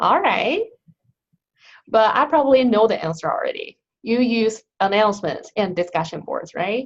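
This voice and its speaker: A woman with a Chinese accent, fairly high-pitched, at a moderate pace, with very wide pitch swings and long, frequent pauses. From China. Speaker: instructional designer. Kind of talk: online training session.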